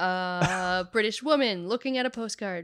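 A woman's bright, sharp tone. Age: 30s. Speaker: podcast co-host. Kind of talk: casual chat.

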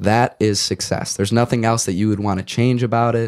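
A man with a fairly low pitch and a slightly mellow tone speaks at a moderate pace. His intonation is fairly even, and the recording is very clean with a silent background.

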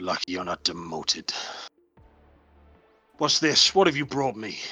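Doing a put-on character voice, a man speaks at a moderate pace in a raspy, medium-pitched voice with very wide pitch swings as music plays in the background. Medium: actual play. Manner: brusque, scornful.

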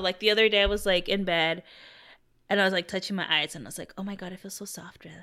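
A woman talks at a very fast pace, with big swings in loudness. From Mexican-American. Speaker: podcast co-host. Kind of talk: casual chat.

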